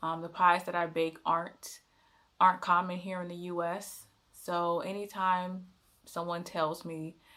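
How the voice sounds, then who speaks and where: In an American accent, a woman talks at a fairly slow pace with a fairly low pitch and a bright, sharp tone. The recording is very clean, with a silent background. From United States. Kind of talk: casual talk to camera.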